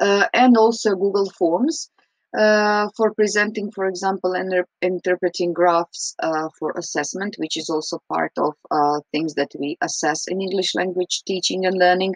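With a Croatian accent, a woman speaks at a moderate pace with hardly any pauses, her dry sound carrying no echo over a quiet background. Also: ordinary pitch variation. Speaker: English teacher. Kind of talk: recorded reflection. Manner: hesitant, frequent fillers. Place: home room. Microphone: webcam.

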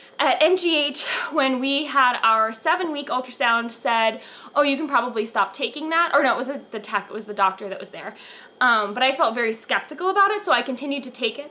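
Raising and projecting her voice, a woman speaks with lively intonation. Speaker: pregnancy vlogger. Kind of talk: casual vlog chat. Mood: cheerful, chatty. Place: home room. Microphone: camera far.

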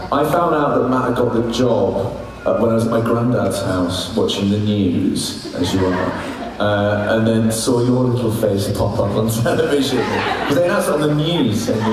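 Strong room echo and noticeable background noise surround a man whose loudness stays very even. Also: ordinary pitch variation, moderate pace. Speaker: guest. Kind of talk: anecdotal panel talk. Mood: jokey, reminiscing. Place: hall. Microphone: pa.

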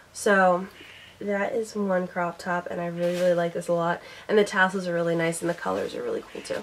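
Noticeable background noise runs under a voice with an American accent. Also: woman. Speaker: beauty and lifestyle vlogger. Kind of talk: casual haul video monologue. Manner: chatty, rambling.

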